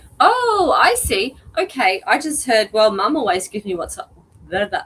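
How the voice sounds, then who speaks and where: The speaker is a woman. Background noise is noticeable throughout. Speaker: pet psychic, animal communicator. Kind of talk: live stream pet reading. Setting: live stream.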